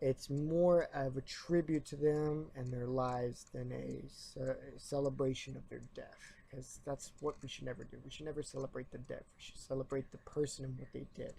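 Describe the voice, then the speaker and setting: Talking at a moderate pace with hardly any pauses, a man makes big swings in loudness. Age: 20s. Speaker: YouTuber and college student. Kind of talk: opinion rant vlog. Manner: trying to speak louder; halting.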